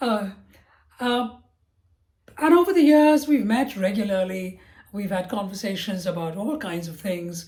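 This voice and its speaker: A woman speaks with a somewhat breathy, dark and mellow tone at a medium pitch, her loudness swinging widely. Her intonation is lively, and her fairly slow pace is broken by long, frequent pauses. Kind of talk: podcast interview host. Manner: warm, friendly.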